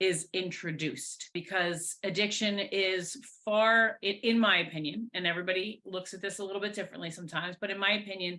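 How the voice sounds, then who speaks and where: A loud woman's voice of medium pitch, bright and sharp in tone. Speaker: person in long-term addiction recovery. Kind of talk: interview, personal testimony. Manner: loud, talkative.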